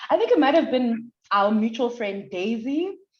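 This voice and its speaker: A woman speaks in an animated tone at a moderate pace, her pitch swinging very widely. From South Africa, Durban. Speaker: lawyer. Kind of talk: podcast interview. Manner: loud, animated.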